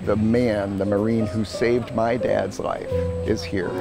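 A man talks over clear background music, with a dry sound that has no echo. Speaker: son of a veteran. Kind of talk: interview answer. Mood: grateful, emotional. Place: garden.

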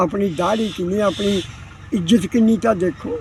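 This man's voice sits high. The intonation holds fairly even throughout. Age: 80s+. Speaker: elderly villager interviewee. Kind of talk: interview.

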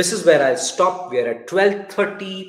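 A man's fairly bright, high-pitched voice with lively intonation, at a moderate pace, with audible room echo

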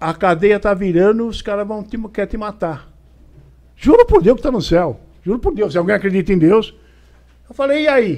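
Shouting in a dramatic, animated tone, a man with a high voice speaks at a moderate pace with lively intonation and long, frequent pauses. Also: quiet background. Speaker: retired police officer telling stories. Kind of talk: elder telling a life story, recounting a prison visit anecdote. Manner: animated, gripping storytelling with hesitations and repeated words; casual, colloquial, dramatic with reenacted dialogue and shouts. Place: studio. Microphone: studio mic.

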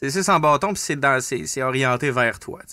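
Against a quiet background, a man speaks fairly slowly in a bright, sharp tone with ordinary pitch variation. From northern Quebec. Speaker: podcast host. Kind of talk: casual chat. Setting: studio. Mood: relaxed, reflective. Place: studio. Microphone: studio mic.

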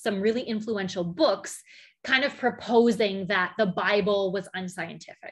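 Against a quiet background, a woman talks at a fairly quick pace. Her pitch moves in an ordinary way. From Canadian prairies, Alberta. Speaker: physicist. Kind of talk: conference talk. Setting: video call. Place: home room. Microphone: webcam.

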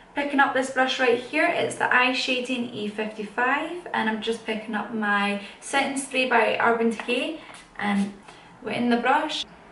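Her voice high-pitched with ordinary pitch variation, a woman speaks at a moderate pace over light background noise and audible room echo. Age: young. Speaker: makeup YouTuber. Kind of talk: chatty makeup tutorial talk to camera.

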